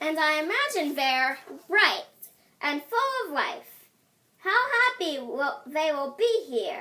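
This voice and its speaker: In a put-on character voice, a woman speaks extremely high at a fairly slow pace with very wide pitch swings. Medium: read story.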